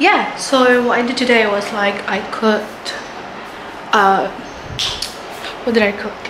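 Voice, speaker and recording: Speaking with an American accent, a woman uses a fairly high pitch and fairly even intonation. She leaves long, frequent pauses amid noticeable background noise. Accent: American-sounding, picked up from classmates. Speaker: university student studying abroad. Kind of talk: casual vlog talk to camera. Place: home room. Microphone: phone near.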